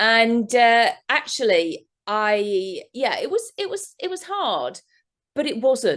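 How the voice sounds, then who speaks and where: Someone speaks with an English accent at a very slow pace. The pitch swings very widely. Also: woman, fairly high pitch for a woman. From England. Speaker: therapist. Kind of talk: interview. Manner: animated.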